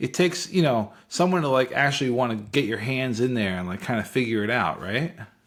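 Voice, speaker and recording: Lively in intonation, a man with a plain, everyday voice speaks at a medium pitch and a fairly quick pace with hardly any pauses. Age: 50s. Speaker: podcast host. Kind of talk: casual interview chat.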